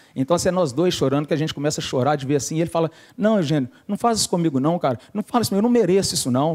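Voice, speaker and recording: A man with a fairly high voice at a very fast pace, lively intonation and a dry, close sound with no echo. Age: 40s. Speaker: church cell coordinator. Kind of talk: testimony.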